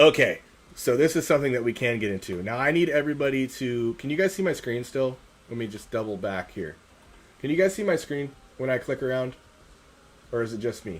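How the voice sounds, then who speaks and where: A man with a medium pitch talks fairly quickly with lively intonation. He takes long, frequent pauses. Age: 30s. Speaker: paranormal investigator, streamer. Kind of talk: live stream chat. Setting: live stream.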